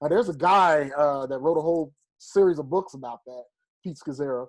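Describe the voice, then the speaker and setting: A man's animated tone with ordinary pitch variation. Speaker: pastor. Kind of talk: interview conversation.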